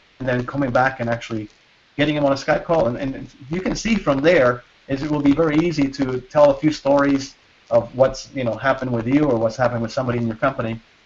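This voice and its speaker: This man talks at a very fast pace. His pitch is fairly high, with ordinary pitch variation. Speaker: internet marketing entrepreneur. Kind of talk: webinar sales pitch. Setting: video call. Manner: halting, many fillers and repeats.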